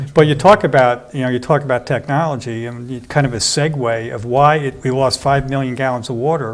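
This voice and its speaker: Here is a man with an unremarkable speaking voice and a medium pitch. He talks at a fairly quick pace with fairly even intonation and hardly any pauses. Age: 60s. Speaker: water utility commissioner. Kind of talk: interview.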